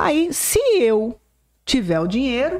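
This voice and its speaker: Very clean recording of a woman against a silent background, dry and close with no echo. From Brazil, southwest Goiás. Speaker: political journalist. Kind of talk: casual interview.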